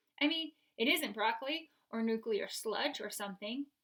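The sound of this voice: An unforced reading voice is heard here.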